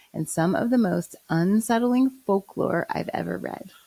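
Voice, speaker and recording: A woman with an American accent and an ordinary speaking voice, medium in pitch, lively in intonation and fairly slow, in a dry, close sound with no echo. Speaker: podcast host. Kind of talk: storytelling podcast narration.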